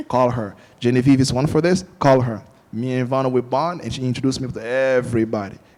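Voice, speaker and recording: Talking at a very fast pace with an animated tone, a man with a Portuguese accent keeps to a medium pitch. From Angola. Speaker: film director. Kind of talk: panel discussion.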